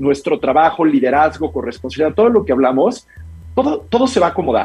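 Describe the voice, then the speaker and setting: The man's voice is somewhat breathy. His intonation is lively. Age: 40s. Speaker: mental health coach for business leaders. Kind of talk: interview.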